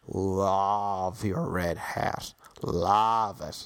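This man puts on a character voice. His pitch sits fairly low. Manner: effusive, gushing compliment.

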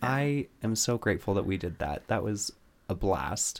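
On a very clean recording with a silent background, a man with an unremarkable speaking voice talks fairly slowly in a fairly low pitch, with ordinary pitch variation. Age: 30s. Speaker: podcast co-host. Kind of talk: casual chat.

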